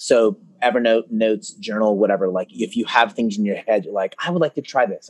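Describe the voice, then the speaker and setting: Very fast speech in a dry, close sound with no echo. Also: man. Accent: Californian. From US West Coast (Concord, California). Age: 40s. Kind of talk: casual interview.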